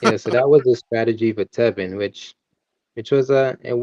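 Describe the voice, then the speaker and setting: A man with a Caribbean accent speaks at a medium pitch with fairly even intonation. The sound is dry and close with no echo. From Antigua. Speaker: boxing and MMA commentator. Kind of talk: casual chat.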